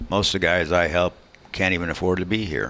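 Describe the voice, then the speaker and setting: A man speaks at a moderate pace with a very deep, low pitch and ordinary pitch variation. Noticeable background noise runs underneath. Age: 70s. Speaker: race car builder and mechanic. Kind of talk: casual interview chat.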